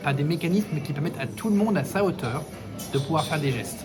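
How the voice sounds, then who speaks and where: Against music in the background and audible room echo, a man talks at a fairly quick pace, his fairly high voice showing ordinary pitch variation. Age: 20s. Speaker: local election candidate. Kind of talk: interview. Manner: hesitant, many false starts.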